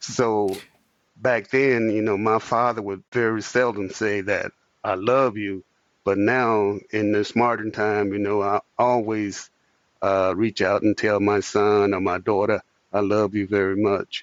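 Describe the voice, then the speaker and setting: With an American accent, this man talks at a fairly slow pace in a fairly low pitch, his intonation monotone and flat. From US South, Tennessee (Jackson). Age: 70s. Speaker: retired police officer, holiday Santa. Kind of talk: interview.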